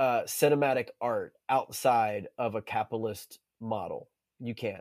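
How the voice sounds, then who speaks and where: Speaking at a fairly slow pace, a man with an American accent uses a medium pitch. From North Carolina, US South. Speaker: documentary filmmaker. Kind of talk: interview. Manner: halting, many repeated words.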